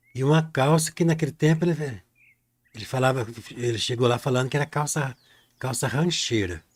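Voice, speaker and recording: Breaking his moderate pace with long, frequent pauses, a man speaks at a medium pitch in a somewhat breathy voice with ordinary pitch variation. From Brazil, rural countryside. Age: 60s. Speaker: painting teacher. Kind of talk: live painting tutorial with storytelling. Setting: live stream. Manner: casual, folksy.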